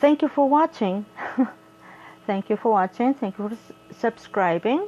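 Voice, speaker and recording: Through noticeable background noise, a woman with an American accent speaks at a fairly slow pace with very wide pitch swings. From South Korea and United States. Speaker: craft vlogger. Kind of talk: casual chat. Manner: halting.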